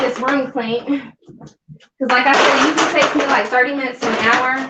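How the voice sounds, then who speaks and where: A woman talks at a fairly quick pace in a raised, projected voice pitched high. Her intonation stays monotone and flat. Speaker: cleaning vlogger. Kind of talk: live cleaning vlog narration. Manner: loud.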